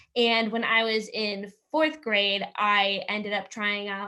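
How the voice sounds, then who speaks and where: Against a quiet background, a woman speaks loudly in an energetic tone with fairly high pitch. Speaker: student athlete, volleyball player. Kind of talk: casual panel answer.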